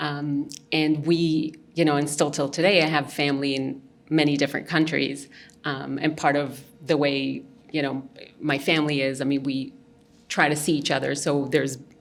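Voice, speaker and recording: A woman's very deep, low voice in monotone, flat intonation at a moderate pace, with long, frequent pauses and audible room echo. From Mexico City, Mexico. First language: Hebrew and Spanish. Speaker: visual artist. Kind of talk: interview. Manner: hesitant, many fillers.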